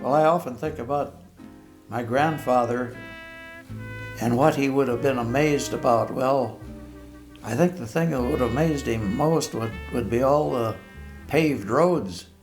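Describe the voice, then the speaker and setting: Over background music, a man with an American accent talks at a moderate pace and medium pitch, with lively intonation and long, frequent pauses. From Billings, Montana. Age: 80s+. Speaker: World War II bomber veteran. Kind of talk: interview answer.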